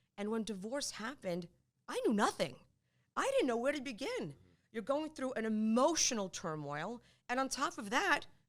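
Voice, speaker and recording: A woman talks in a high voice with very wide pitch swings. Her pace is moderate. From Poland. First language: Polish. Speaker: divorce lawyer. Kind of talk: interview.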